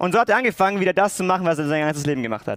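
A man with a high voice, ordinary pitch variation and an animated tone. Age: 20s. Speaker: theology student. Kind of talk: sermon.

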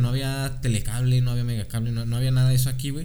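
A man speaks at a medium pitch. There is audible room echo around his voice. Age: 20s. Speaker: podcast co-host. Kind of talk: casual chat.

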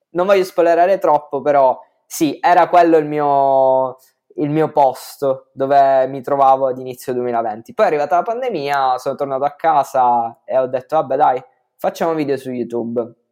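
A man's fairly high voice at a moderate pace, dark and mellow in tone, with a northern Italian accent. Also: ordinary pitch variation, quiet background. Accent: northern Italian (Trentino). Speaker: content creator. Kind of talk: casual interview.

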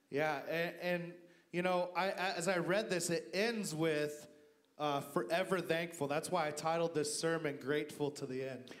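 A high-pitched man at a very slow pace, fairly even intonation, audible room echo and music in the background. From US, Idaho. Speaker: guest pastor. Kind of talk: sermon. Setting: church service with congregation.

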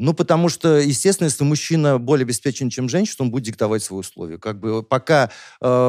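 Talking at a very fast pace with lively intonation, a man comes through in a very clean recording with a silent background and a dry, close sound with no echo. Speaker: relationship expert. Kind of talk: casual discussion.

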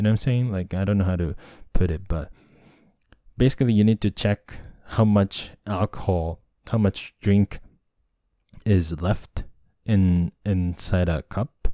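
A man with a Japanese accent, a fairly low pitch and a dark, mellow tone, at a fairly slow pace with fairly even intonation and long, frequent pauses, on a very clean, dry, close recording with a silent background and no echo. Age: 30s. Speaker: podcast host. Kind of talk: casual monologue. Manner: halting.

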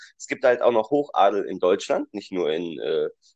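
A man talks at a moderate speed. The recording is dry and close, free of echo. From Düsseldorf area, Germany. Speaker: podcast co-host. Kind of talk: casual chat.

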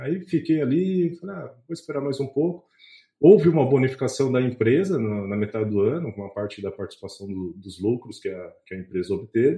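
A man talks at a fairly quick pace in a medium-pitched, dark, mellow, somewhat breathy voice. His pitch swings very widely and his loudness shifts in big swings. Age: 30s. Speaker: investment content creator, chemist. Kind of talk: podcast interview. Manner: hesitant, with frequent fillers and repetitions.

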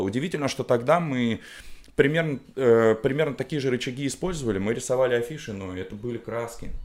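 Recorded very cleanly against a silent background, the speech moves at a very fast pace with ordinary pitch variation. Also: man. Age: 30s. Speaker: designer and musician. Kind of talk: casual chat. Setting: studio.

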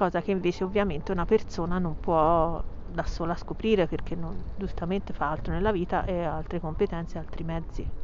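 With audible room echo, a woman talks at a fairly quick pace in a fairly low pitch, with vocal fry and monotone, flat intonation. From Tuscany, Pisa. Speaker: real estate agent. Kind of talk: solo podcast monologue. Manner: casual, hesitant with fillers.

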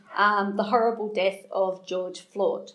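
A woman's medium-pitched voice, with ordinary pitch variation, comes at a fairly slow pace. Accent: Australian. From Australia. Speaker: guest preacher, anti-trafficking charity founder. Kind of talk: sermon. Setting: church room with small audience. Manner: halting, many fillers.

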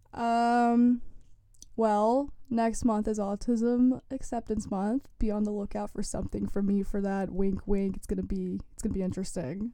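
A woman talks at a moderate pace in a plain, everyday voice. Her intonation stays fairly even. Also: fairly high pitch for a woman. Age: young. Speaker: student newspaper lifestyle editor. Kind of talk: casual interview. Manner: casual, filler-heavy speech.

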